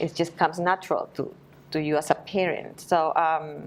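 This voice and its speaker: A woman with a Spanish accent at a moderate pace. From Peru, Lima. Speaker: Spanish teacher. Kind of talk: interview. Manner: halting.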